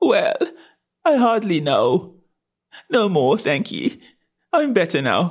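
A squeaky put-on character voice, fairly high in pitch and fairly slow in pace. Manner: flustered.

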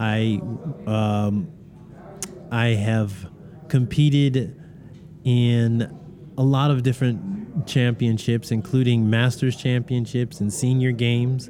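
The speech moves at a very slow pace, and its loudness stays very even throughout. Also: man, medium pitch for a man, ordinary pitch variation. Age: 60s. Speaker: former Olympic athlete. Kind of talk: casual interview. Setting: at a live event. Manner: animated.

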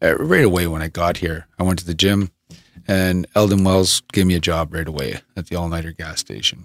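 Recorded very cleanly with a silent background and a dry, close sound with no echo, a man with a Canadian accent speaks in a very deep, low voice with fairly even intonation. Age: 40s. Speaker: former boxer and fitness coach. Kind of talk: casual interview conversation. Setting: studio.

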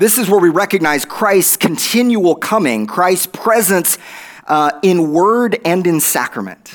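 The speaker has an Oklahoma accent and talks at a fairly slow pace. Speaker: guest preacher. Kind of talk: sermon. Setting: church.

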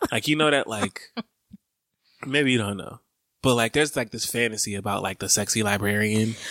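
With an Atlanta accent, a man of medium pitch talks at a fairly quick pace in a bright, sharp tone, using ordinary pitch variation and long, frequent pauses, the sound dry and close with no echo. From Brooklyn and Atlanta. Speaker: podcast co-host. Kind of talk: casual chat.

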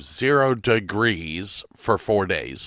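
On a very clean recording with a silent background and a dry, close sound with no echo, a man uses lively intonation, a fairly low pitch and a bright, sharp tone. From Ohio, Medina. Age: 50s. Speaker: podcast host. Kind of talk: casual chat.

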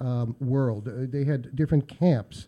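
A man's fairly high-pitched voice with a dark, mellow tone and ordinary pitch variation. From US, Pittsburgh. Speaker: local historian. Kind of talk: radio interview.

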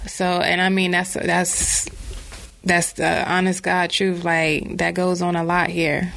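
A woman with an American accent at a very slow pace, fairly low in pitch, with monotone, flat intonation, very even loudness, audible room echo and noticeable background noise. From North Carolina, Bertie County. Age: 20s. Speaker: author. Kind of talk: casual chat.

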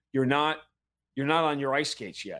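A man with an American accent has a fairly high pitch and fairly even intonation. The recording is very clean, with a silent background. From New York. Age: 50s. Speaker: NBA and MMA play-by-play announcer. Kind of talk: casual interview chat.

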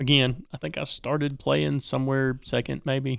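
Here is a man with an unremarkable speaking voice. His pitch is fairly high and his pace fairly slow. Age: 40s. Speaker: podcast co-host, tabletop gamer. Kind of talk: casual chat.

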